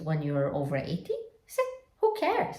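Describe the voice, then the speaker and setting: A woman speaks with a Polish accent and a very deep, low pitch. Audible room echo is present. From Poland. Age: 50s. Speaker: lifestyle vlogger. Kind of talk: reflective personal vlog monologue.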